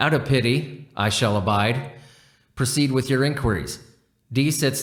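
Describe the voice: The backdrop is quiet. It is plain reading aloud, and the pitch varies in an ordinary way.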